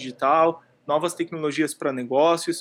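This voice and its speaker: The recording is very clean with a silent background. A man speaks at a moderate pace with a high pitch. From rural Brazil. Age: 30s. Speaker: digital education entrepreneur. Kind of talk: podcast interview.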